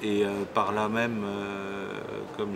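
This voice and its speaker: With fairly even intonation, a man talks in a fairly low pitch against noticeable background noise. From Alsace, France. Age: 60s. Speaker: local politician. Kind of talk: self-introduction interview. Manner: halting, many hesitations.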